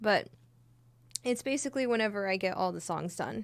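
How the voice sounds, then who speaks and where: On a very clean recording with a silent background, a soft-spoken woman talks at a medium pitch with very wide pitch swings. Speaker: streamer and singer. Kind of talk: casual live stream chat. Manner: quiet, soft-spoken.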